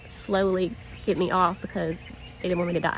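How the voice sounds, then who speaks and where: A woman talks with a Southern US accent. Noticeable background noise runs behind her. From US South, small town. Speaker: vlogger. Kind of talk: casual vlog. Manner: halting, slight stutter.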